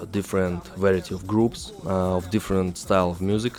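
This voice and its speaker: Speaking with a Russian accent at a fairly slow pace, the voice keeps a fairly even intonation over noticeable background noise. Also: man. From Russia, Saint Petersburg. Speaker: rapper. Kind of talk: interview. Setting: studio. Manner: halting.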